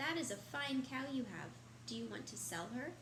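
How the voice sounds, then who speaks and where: A woman performs a put-on character voice. Loud background noise runs behind her. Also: moderate pace. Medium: read story.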